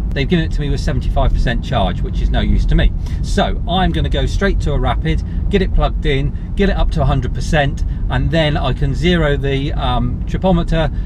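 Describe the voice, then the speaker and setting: Noticeable background noise is present. A man speaks at a moderate pace in a dry sound with no echo. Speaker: car reviewer. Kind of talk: casual vlog chat. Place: car. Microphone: phone near.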